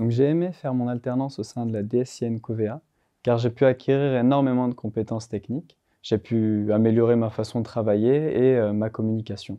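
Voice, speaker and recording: This man speaks at a fairly quick pace with a medium pitch and fairly even intonation. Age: 20s. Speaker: IT application specialist. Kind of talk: corporate testimonial interview. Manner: hesitant, frequent fillers.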